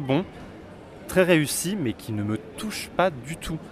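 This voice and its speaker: His pitch swings very widely as the man talks. The pace is fairly slow. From France, Auvergne (Vichy). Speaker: theatre critic youtuber. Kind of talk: interview.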